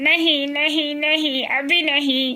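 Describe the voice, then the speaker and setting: A high, put-on character voice delivers its lines in a flat monotone. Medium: read story. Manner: repetitive, chattering.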